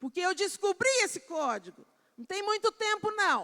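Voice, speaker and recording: Dry and close with no echo, a woman's raised, projected voice has an extremely high pitch, a bright, sharp tone, very wide pitch swings, and an animated tone. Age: 60s. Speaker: preacher. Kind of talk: sermon. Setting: church pulpit, live-streamed.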